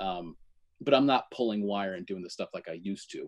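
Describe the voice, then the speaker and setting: A man speaks with a US Northeastern accent. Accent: US Northeast. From Connecticut. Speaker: electrician and menswear reviewer. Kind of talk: casual chat.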